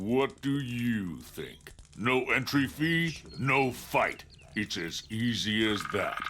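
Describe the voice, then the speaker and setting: A man's put-on character voice, medium in pitch, very slow, with lively intonation. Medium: video game. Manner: blunt, condescending.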